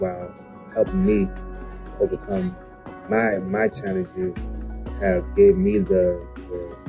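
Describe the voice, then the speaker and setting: A man speaks with a very deep, low pitch and ordinary pitch variation. Clear music plays in the background. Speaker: gunshot survivor with spinal cord injury. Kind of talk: interview answer. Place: home room. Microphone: phone near.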